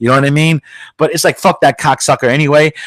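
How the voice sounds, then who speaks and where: A man with a New York accent at a very fast pace, in a dry, close sound with no echo. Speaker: podcast host. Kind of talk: casual chat. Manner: loud.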